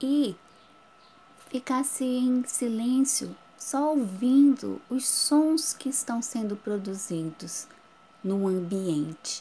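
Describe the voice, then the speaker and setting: Very slow delivery with lively intonation and long, frequent pauses. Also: woman, high pitch for a woman. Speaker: schoolteacher. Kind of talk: recorded lesson for children. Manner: whispers briefly as a demonstration.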